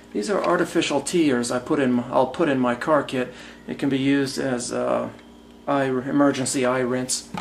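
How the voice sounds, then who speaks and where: A man speaks at a medium pitch with ordinary pitch variation. Noticeable background noise can be heard. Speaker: airport screener. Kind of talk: casual talk to camera. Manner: loud, slow.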